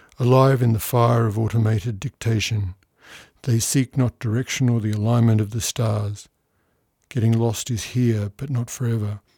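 A man speaks at medium pitch with a dark, mellow, somewhat breathy tone and monotone, flat intonation. The recording is very clean with a silent background and a dry, close sound with no echo. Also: moderate pace. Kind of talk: poetry reading of original poems, studio recording. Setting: studio.

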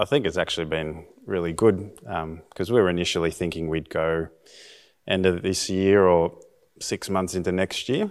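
A very deep, low male voice at a moderate pace with ordinary pitch variation, in a very clean recording with a silent background. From Australia (Bega, NSW). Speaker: high school teacher, missionary candidate. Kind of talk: interview.

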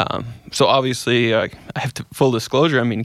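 A man with an Albertan accent speaks at a fairly quick pace in a medium pitch, his intonation fairly even, on a very clean recording with a silent background and a dry, close sound with no echo. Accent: Canadian (Alberta). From Edmonton, Alberta, Canada. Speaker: accountant and paracyclist. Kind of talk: interview.

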